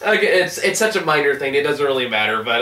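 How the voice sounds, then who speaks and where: A man's voice carries audible room echo. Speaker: show reviewer. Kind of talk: casual review commentary. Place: home room.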